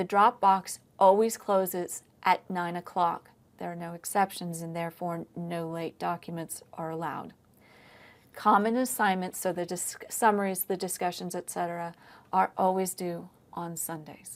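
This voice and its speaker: A woman with a normal speaking voice and fairly low pitch talks at a moderate pace, her intonation fairly even but her loudness swinging widely. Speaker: history professor. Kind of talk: lecture. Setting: recorded online lecture.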